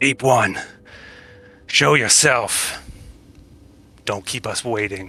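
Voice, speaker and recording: A man uses a booming, put-on character voice at medium pitch. He speaks at a very slow pace with long, frequent pauses. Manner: commanding.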